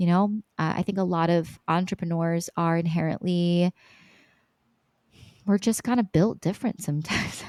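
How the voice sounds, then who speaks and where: Very even loudness, with long, frequent pauses. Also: woman, fairly low pitch for a woman. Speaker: business coach. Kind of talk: podcast interview. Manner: fast.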